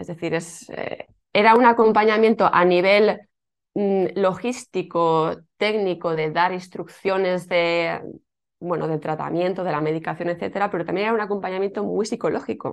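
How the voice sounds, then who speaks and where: A normal speaking voice with ordinary pitch variation, delivered at a moderate pace. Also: woman, medium pitch for a woman. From Spain, Alicante. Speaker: yoga teacher and former fertility clinic worker. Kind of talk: interview.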